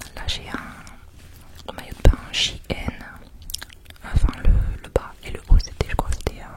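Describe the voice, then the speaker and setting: Someone whispers at a fairly slow pace with long, frequent pauses and big swings in loudness, over noticeable background noise. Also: woman. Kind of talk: ASMR travel vlog narration. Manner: whispered, soft.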